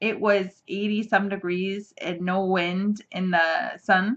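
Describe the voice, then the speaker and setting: A woman's medium-pitched voice with ordinary pitch variation. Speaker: knitting podcast host. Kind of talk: casual chat. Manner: fast; animated.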